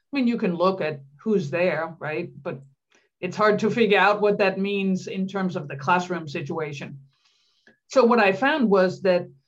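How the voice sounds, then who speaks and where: Speaking with a Danish accent, a woman uses a medium pitch and ordinary pitch variation at a moderate pace. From Denmark. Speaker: psychology professor. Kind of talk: interview.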